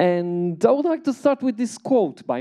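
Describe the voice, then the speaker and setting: Over a quiet background, a man speaks at a fairly slow pace in a dark, mellow tone with very wide pitch swings. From Italy. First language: Italian. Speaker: researcher and artist; invited lecturer. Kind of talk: lecture. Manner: halting. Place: hall. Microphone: handheld.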